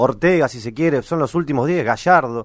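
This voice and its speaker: A man talks with a normal speaking voice, his pitch shifting in an ordinary way at a moderate speed. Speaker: sports radio co-host. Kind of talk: radio interview.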